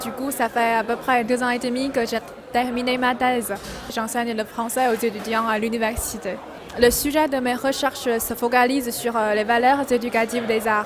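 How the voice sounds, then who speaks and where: The speaker has a Chinese accent and a monotone, flat intonation at a moderate pace. Music plays in the background, and audible room echo surrounds the voice. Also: woman, high pitch for a woman. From China. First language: Chinese (speaking French). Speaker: French teacher and PhD holder. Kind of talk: interview answers. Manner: halting, many fillers.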